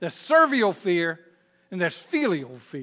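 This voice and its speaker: A man with a Southern Virginia accent projects a raised voice with a bright, sharp tone and very wide pitch swings. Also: quiet background. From Southern Virginia, US. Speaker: pastor. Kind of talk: sermon. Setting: church with congregation and online stream.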